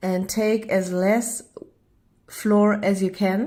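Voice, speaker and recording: A woman's medium-pitched voice with a dark, mellow tone and a German accent, at a very slow pace. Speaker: home baker vlogger. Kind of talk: cooking tutorial. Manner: halting.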